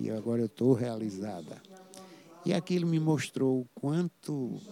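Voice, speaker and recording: This man has a plain, everyday voice at a medium pitch. He talks at a fairly slow pace. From Paraíba, Brazil (interior). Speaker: saxophonist. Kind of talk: interview.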